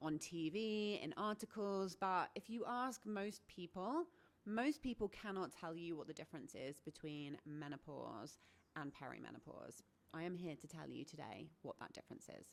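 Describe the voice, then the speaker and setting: A woman with a British accent and a fairly low pitch speaks at a moderate pace with lively intonation. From Britain. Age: 40s. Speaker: menopause coach and health vlogger. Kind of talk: educational talk to camera.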